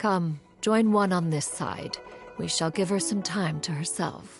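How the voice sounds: A woman speaks at a fairly slow pace in a put-on character voice, fairly low-pitched with a slightly husky edge and vocal fry, ordinary pitch variation, and faint music in the background.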